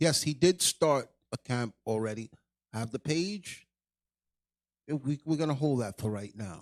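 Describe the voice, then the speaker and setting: Loud and at a fairly slow pace, a man speaks at a medium pitch with very wide pitch swings in a dry, close sound with no echo. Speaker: livestream host. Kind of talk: heated livestream rant. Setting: livestream.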